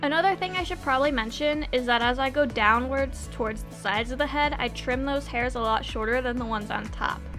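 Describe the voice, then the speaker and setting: A woman talks with hardly any pauses. Music plays in the background. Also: fairly quick pace. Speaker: cosplay wig stylist. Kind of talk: tutorial narration.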